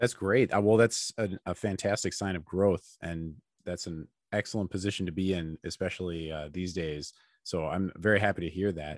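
In a relaxed tone, a man with an American accent speaks with a very deep, low pitch, the sound dry and close with no echo on a very clean recording with a silent background. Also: fairly even intonation, moderate pace. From US, Chicago. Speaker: podcast host, medical illustrator. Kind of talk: interview. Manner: relaxed, friendly.

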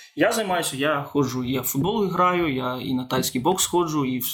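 The background noise is noticeable. Through it, a man talks at a moderate pace. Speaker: opera singer. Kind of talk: interview.

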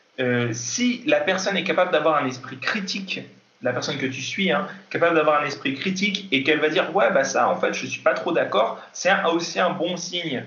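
Lively intonation carries the speech at a moderate pace, with audible room echo and noticeable background noise. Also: man, high pitch for a man. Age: 20s. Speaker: kendo athlete and fitness coach. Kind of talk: interview. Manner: hesitant, many fillers.

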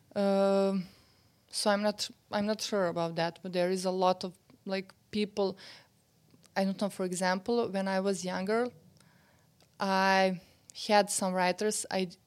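Speaking with a Serbian accent, a woman uses a medium pitch and monotone, flat intonation at a fairly slow pace, with long, frequent pauses. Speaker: novelist. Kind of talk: interview conversation. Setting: old house on a residency.

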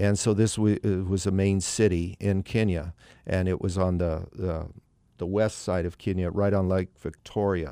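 The voice has a dark, mellow tone and a monotone, flat intonation at a moderate pace. The recording is very clean, with a silent background. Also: man, very deep, low pitch for a man. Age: 60s. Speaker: pastor. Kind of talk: testimony. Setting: studio. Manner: halting.

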